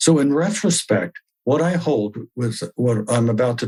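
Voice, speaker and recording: The speaker's voice is somewhat breathy, with lively intonation at a fairly slow pace. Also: man. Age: 70s. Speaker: spiritual group leader and archaeologist. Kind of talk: spiritual talk. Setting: video call.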